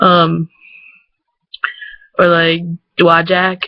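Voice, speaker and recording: Speaking with an American accent, a woman has a fairly low pitch. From Michigan, USA. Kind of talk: casual talk to camera.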